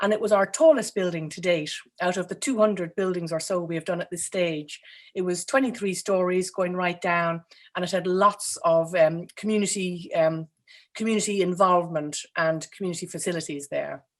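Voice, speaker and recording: This very clean recording with a silent background captures a woman speaking with an Irish accent. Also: medium pitch for a woman, fairly even intonation, moderate pace. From Ireland. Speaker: architect. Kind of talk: interview. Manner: hesitant, many fillers.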